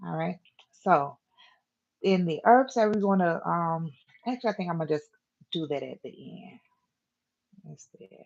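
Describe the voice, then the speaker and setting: A woman speaks with a fairly low pitch and lively intonation. Her loudness swings widely. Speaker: herbalist. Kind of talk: interactive class. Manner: fast; casual, hesitant with fillers.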